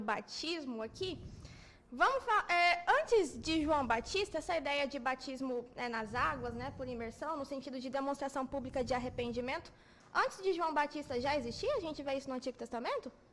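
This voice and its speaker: Against noticeable background noise, a woman speaks at a high pitch with lively intonation. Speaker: church program host. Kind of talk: bible study discussion. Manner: fast.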